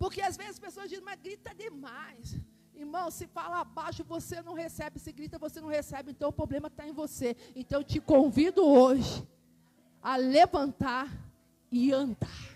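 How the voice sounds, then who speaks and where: A woman shouts at a moderate pace, with a high pitch and a dark, mellow tone. Her loudness swings widely, and her pitch varies in an ordinary way. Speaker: pastor. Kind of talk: sermon. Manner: loud, shouting; animated, pacing while preaching.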